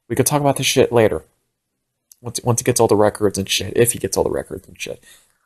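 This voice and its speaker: A somewhat breathy man at medium pitch, very fast pace, big swings in loudness, dry close sound with no echo. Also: ordinary pitch variation. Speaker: podcast host. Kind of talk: casual monologue. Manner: animated.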